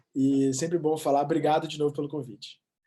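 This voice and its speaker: In an Espírito Santo accent, a man talks at a very fast pace with a fairly high pitch, a dark, mellow tone and fairly even intonation. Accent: capixaba (Espírito Santo). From Brazil, Espírito Santo (Vitória). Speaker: sports reporter. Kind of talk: interview. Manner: halting.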